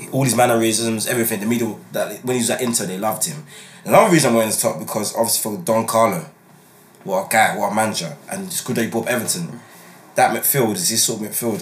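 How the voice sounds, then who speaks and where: Noticeable background noise accompanies this man. He speaks at a very fast pace with medium pitch and lively intonation. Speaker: podcast host and sports commentator. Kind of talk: casual chat and sports discussion.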